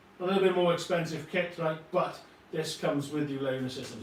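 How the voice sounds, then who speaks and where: Speaking with a Welsh accent at a fairly quick pace, a man has a fairly high pitch, with audible room echo and noticeable background noise. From Wales. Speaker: model scenery company co-founder. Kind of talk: live product demo. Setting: livestream. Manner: animated, casual with frequent fillers.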